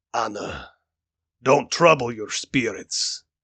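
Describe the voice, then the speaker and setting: A man puts on a character voice that sounds gruff, raspy and strained, at a very slow pace. The sound is dry and close with no echo, over a quiet background. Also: medium pitch for a man. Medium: read story. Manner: patient, fatherly.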